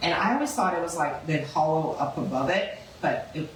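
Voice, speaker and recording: A woman with an American accent at a moderate pace, amid noticeable background noise and audible room echo. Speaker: local historical society officer. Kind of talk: public presentation. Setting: museum talk with small audience. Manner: animated.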